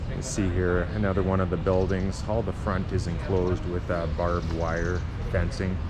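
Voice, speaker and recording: Noticeable background noise and audible room echo around a fairly even intonation. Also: man, very deep, low pitch for a man, moderate pace. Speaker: travel vlogger. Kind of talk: travel vlog narration. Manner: hesitant, many filler words; soft-spoken.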